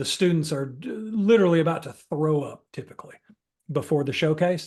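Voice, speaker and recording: Talking at a fairly quick pace, a man with a plain, everyday voice speaks at a fairly high pitch with ordinary pitch variation and big swings in loudness. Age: 50s. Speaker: improv workshop instructor. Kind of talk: workshop Q&A. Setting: video call. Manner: conversational, with fillers and self-repetition.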